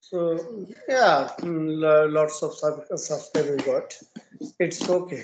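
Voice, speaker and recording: The speaker talks at a very slow pace with a Bengali accent. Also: man. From eastern India, West Bengal. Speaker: English learner. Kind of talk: casual conversation practice. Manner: halting, hesitant.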